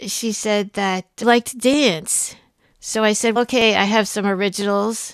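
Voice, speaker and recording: A woman with a fairly high pitch talks at a fairly slow pace with fairly even intonation, in a very clean recording with a silent background. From Pennsylvania, US. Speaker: singer-songwriter and streamer. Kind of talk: casual interview. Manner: soft-spoken.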